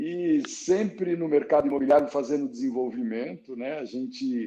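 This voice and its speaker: A man's fairly high voice with a dark, mellow tone, ordinary pitch variation, and a moderate pace. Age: 60s. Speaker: real estate developer. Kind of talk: interview. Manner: animated.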